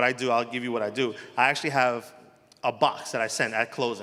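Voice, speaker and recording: A man with a strong New Jersey accent, medium pitch and a fairly quick pace. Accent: heavy New Jersey. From New Jersey, Elizabeth. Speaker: mortgage loan officer. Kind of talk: panel discussion.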